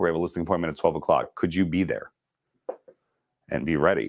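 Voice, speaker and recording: A man with an animated tone. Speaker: real estate sales trainer. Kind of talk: training class. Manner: fast.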